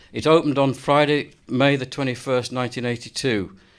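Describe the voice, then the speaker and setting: In a plain, everyday voice, a man speaks at a moderate pace and medium pitch with fairly even intonation. The recording is very clean with a silent background. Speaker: university design professor and event host. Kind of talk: interview questions on stage.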